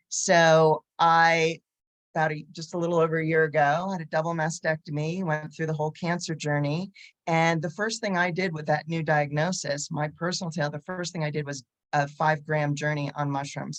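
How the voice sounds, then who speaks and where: A woman with an American accent speaks at a moderate pace in a very deep, low pitch. Her intonation is monotone and flat. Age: 60s. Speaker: psychotherapist. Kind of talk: panel discussion. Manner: casual, conversational.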